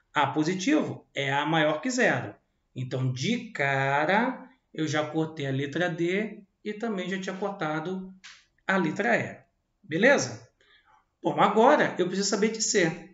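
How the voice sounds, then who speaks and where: Amid audible room echo, a man with a high pitch and lively intonation speaks at a fairly slow pace with long, frequent pauses. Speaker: math teacher. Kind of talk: lecture. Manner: casual, animated.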